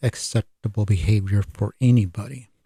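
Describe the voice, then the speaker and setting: A man with an American accent speaks very slowly at medium pitch, his tone dark, mellow and somewhat breathy. The sound is dry and close with no echo, on a very clean recording with a silent background. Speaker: podcast host. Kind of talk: solo podcast monologue.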